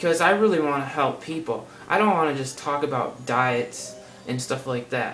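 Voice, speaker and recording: This man's voice sits fairly high, with ordinary pitch variation. Audible room echo and noticeable background noise surround it. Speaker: health vlogger. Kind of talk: casual vlog monologue. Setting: seated at home on camera. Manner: fast; casual, rambling with fillers.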